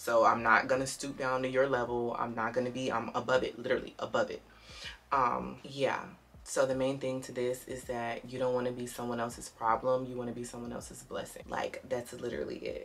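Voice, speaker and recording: Over light background noise, the voice goes at a fairly quick pace with big swings in loudness. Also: woman. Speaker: beauty vlogger. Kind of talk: casual chat. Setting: home video recording. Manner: animated. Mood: relaxed, playful, confident. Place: home room. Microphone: phone near.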